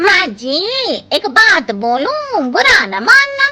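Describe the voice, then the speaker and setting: A woman puts on a cartoonish character voice at an extremely high pitch with very wide pitch swings. She talks at a very slow pace. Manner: blunt, outspoken.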